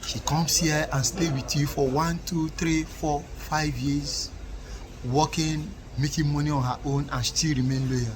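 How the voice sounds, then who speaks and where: Over noticeable background noise, a man with an African accent talks at a fairly slow pace. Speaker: relationship commentator. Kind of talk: casual monologue to camera, advice.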